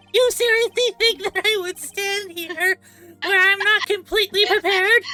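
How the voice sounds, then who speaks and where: A woman's put-on character voice over background music. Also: moderate pace. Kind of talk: courtroom, formal. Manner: villainous, domineering.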